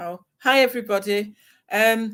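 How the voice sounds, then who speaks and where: Recorded very cleanly against a silent background, a woman with an English accent speaks at medium pitch. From northern England, Salford. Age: 60s. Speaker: retired expat. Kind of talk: interview. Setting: livestream.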